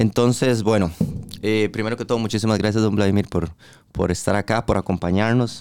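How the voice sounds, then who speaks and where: Over music in the background, a man with a Costa Rican accent talks at a fairly quick pace, his pitch fairly low and his intonation fairly even. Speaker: podcast host. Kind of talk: casual interview.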